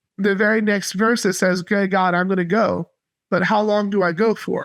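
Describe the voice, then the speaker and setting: A man with an American accent at a high pitch and moderate pace, flat and monotone, with very even loudness against a quiet background. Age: 30s. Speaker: missionary. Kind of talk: podcast interview.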